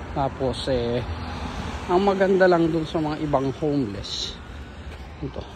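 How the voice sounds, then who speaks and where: A man speaks with long, frequent pauses amid noticeable background noise and audible room echo. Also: fairly high pitch for a man, ordinary pitch variation. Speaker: vlogger. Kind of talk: casual vlog narration. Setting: outdoors, walking. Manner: softer, lowered voice.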